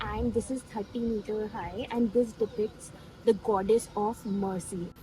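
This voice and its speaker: Over noticeable background noise, a woman speaks at a fairly slow pace and fairly high pitch with fairly even intonation. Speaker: travel vlogger. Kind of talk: travel vlog. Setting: outdoors at a hilltop temple. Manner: speaking quietly.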